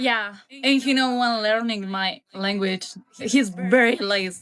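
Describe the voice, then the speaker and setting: Music plays in the background as a woman speaks with a Mexican accent. Her voice is fairly high and her pace very slow. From Mexico. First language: Spanish. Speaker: language learner. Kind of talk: casual chat. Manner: halting.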